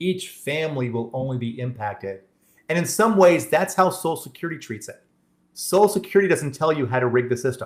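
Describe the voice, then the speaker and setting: A man with a fairly high pitch speaks in an American accent. His intonation is lively, with big swings in loudness. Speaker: benefits planning presenter. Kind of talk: workshop presentation with Q&A. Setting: live-streamed online webinar. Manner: halting, frequent restarts.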